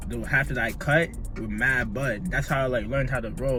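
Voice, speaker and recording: There is audible room echo as a man speaks. Music plays in the background. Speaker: YouTuber. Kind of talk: casual vlog chat while smoking. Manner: fast talker normally.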